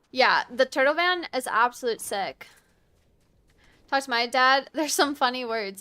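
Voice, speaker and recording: A woman with an American accent speaks at a high pitch in a raised, projected voice with lively intonation. Her tone is bright and sharp, and the recording is very clean with a silent background. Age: 20s. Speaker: video game streamer. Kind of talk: casual chat during live gameplay stream.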